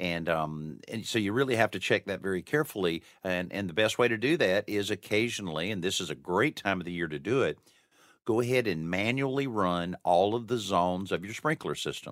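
Fairly low-pitched and lively in intonation, a man with an ordinary speaking voice talks at a fairly quick pace. The recording is very clean with a silent background and a dry, close sound with no echo. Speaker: radio host. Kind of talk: radio host patter. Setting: studio. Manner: upbeat, chatty, fluent broadcaster cadence with teasers and segment cues.

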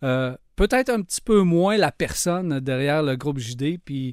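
A man with an unremarkable speaking voice and a fairly high pitch is heard in a dry, close sound with no echo and a quiet background. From Quebec, Lac-Saint-Jean. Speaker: podcast host. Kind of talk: interview.

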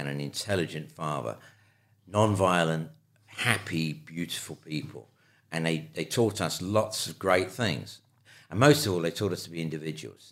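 In a London accent, a man with a very deep, low voice speaks with lively intonation, vocal fry and big swings in loudness. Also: moderate pace. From London, England (Pimlico). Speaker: photographer and filmmaker. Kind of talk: interview, life story.

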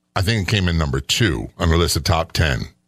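Very fast male speech with vocal fry and very wide pitch swings, in a very clean recording over a silent background. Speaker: radio host and retired police sergeant. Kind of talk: casual podcast chat about hauntings.

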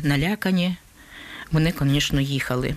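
The speech comes at a fairly slow pace. Noticeable background noise can be heard. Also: woman. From Ukraine, Donetsk. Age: 70s. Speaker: war refugee. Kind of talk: testimony.

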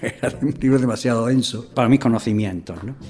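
A plain, everyday voice, a man's, medium in pitch and fairly quick in pace. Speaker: former mayor and teacher. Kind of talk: interview testimony.

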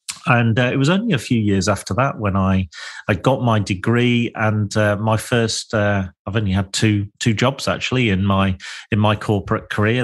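A man in an East Midlands accent, fairly low in pitch, at a moderate pace, with fairly even intonation, very even loudness and a quiet background. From Lincolnshire, England. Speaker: podcast host, property developer. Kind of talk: solo reflective monologue. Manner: halting, frequent fillers and repetitions.

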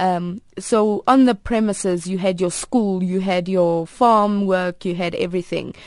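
Speaking at a fairly slow pace with ordinary pitch variation, a woman with a South African accent is heard against a quiet background. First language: Afrikaans. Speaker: advert actress and multilingual speaker. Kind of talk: radio interview. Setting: radio studio.

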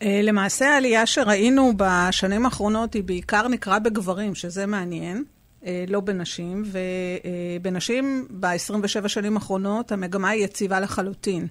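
A woman uses a normal speaking voice at a medium pitch, talking fairly slowly with ordinary pitch variation. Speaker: public health official. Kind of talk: interview.

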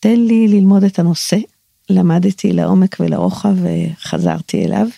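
The woman speaks at a very slow pace. The sound is dry and close, with no echo. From Israel. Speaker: Talmud scholar and halakhic decisor. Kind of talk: personal narrative monologue. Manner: reflective.

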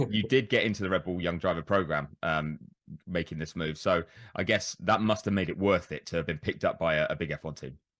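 In a British accent, a man with a very deep, low pitch talks at a fairly quick pace. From Britain. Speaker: motorsport journalist. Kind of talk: interview.

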